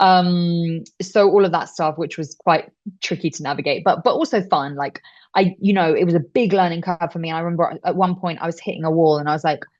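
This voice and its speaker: A woman with a British accent speaks at a fairly quick pace. Her pitch is fairly low, and her intonation stays fairly even. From UK. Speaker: voice actor. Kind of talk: interview answer. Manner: casual, chatty.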